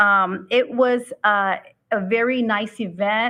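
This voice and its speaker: A woman speaks with a Spanish accent. Her pitch is fairly high, with ordinary pitch variation. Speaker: school board member. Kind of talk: board meeting report. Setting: public board meeting. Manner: halting, many fillers.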